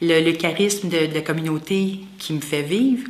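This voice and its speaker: A woman speaks with a Quebec accent at a fairly slow pace. Noticeable background noise and audible room echo surround her voice. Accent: Québécois French. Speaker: lay associate of a religious community, massage therapist. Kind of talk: interview testimony. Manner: halting.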